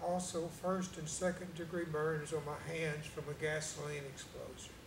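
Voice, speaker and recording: A man speaks at a fairly high pitch and fairly slow pace in a monotone, flat intonation. Audible room echo and noticeable background noise fill the recording. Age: 60s. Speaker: cancer survivor. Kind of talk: testimony. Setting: church. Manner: quiet.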